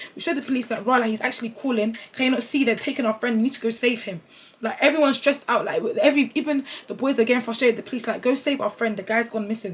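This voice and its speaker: Speaking at a very fast pace in an animated tone, a woman with a London accent keeps a high pitch over noticeable background noise. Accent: London multicultural English. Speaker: youtuber. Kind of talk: storytime.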